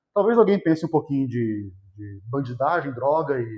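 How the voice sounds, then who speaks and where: His intonation rises and falls in a lively way. The man keeps to a moderate pace. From Vale do Paraíba, São Paulo state, Brazil (São José dos Campos). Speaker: teacher. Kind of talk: lecture.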